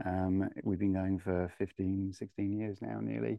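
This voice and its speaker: With a southern English accent, a man speaks at a moderate pace. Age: 40s. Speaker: home technology integrator, company director. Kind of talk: casual interview.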